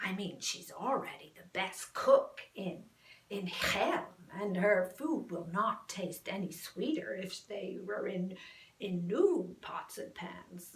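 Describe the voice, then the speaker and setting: A woman performs a put-on character voice. She delivers it at a fairly slow pace. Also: medium pitch for a woman. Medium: solo performance. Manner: eager, stammering.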